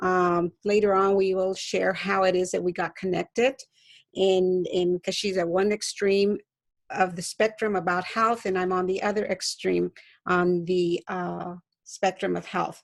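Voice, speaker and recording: At a fairly slow pace, a woman with a medium pitch speaks in a monotone, flat way, the sound dry and close with no echo against a quiet background. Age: 70s. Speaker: health webinar host. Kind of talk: live webinar talk. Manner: halting.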